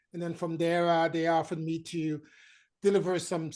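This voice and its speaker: In a quiet background, a woman speaks in a fairly low pitch with a French accent. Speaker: marketing consultant and trainer. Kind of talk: panel discussion. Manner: hesitant, many fillers.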